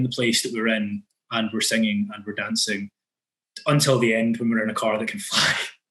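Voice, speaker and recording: A man talks with a Scottish accent at a very fast pace. His intonation is fairly even. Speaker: podcast host. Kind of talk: casual podcast conversation.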